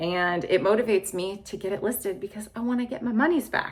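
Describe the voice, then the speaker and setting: A woman speaks in a normal speaking voice at a medium pitch. Her intonation is lively and her pace moderate. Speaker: clothing reseller, video blogger. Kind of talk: casual monologue video.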